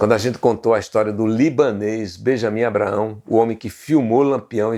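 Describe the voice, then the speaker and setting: A man with a dark, mellow tone talks at a moderate pace, his pitch fairly low with ordinary variation. The recording is very clean, with a silent background. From Brazil, Pernambuco sertão (Serra Talhada). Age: 60s. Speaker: journalist and history channel host. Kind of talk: documentary narration to camera.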